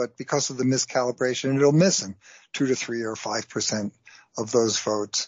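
A man's ordinary speaking voice, medium in pitch, with ordinary pitch variation. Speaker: science writer. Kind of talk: interview.

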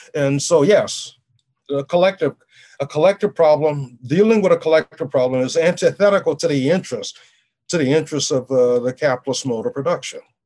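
Dry and close with no echo, a man's fairly high-pitched voice with a dark, mellow tone moves at a fairly quick pace in an American accent. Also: ordinary pitch variation. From US South, New Orleans. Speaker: political science professor. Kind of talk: interview.

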